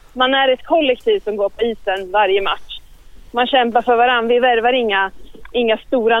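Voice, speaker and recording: A woman talks at a moderate pace in a plain, everyday voice. Her pitch varies in an ordinary way. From Eskilstuna and Örebro area, Sweden. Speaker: sports management student. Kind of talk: interview.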